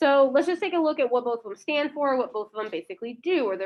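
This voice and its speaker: A woman talks loudly and very fast at a high pitch. Her pitch swings very wide. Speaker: high school history teacher. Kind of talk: lecture.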